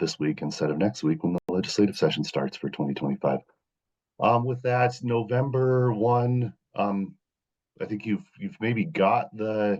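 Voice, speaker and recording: Speaking at a fairly slow pace, a man uses very wide pitch swings. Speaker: government legislative liaison. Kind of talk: meeting presentation. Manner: halting, many fillers.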